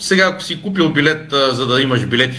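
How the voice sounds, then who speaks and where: Speaking at a moderate pace, a man with an unremarkable speaking voice shows ordinary pitch variation. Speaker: sports journalist. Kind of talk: panel discussion.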